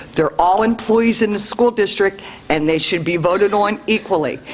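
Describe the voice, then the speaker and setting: The speech moves at a moderate pace with noticeable background noise underneath. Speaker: public commenter at school board meeting. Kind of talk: public comment. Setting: meeting room with microphone. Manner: loud; forceful.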